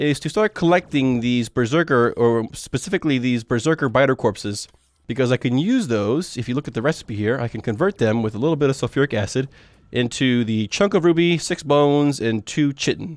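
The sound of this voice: A nasal man's voice at a fairly quick pace, on a very clean recording with a silent background. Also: medium pitch for a man, lively intonation.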